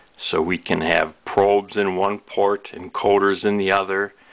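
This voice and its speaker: The background is quiet. A man talks at a fairly slow pace. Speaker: product demonstrator. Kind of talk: tutorial. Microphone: camera far.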